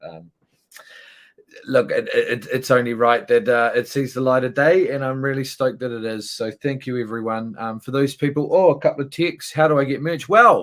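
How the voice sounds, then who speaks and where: Speaking at a moderate pace, a man with a New Zealand accent has a fairly high pitch. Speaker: musician. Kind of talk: live stream hosting. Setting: online live stream. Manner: hesitant, many fillers.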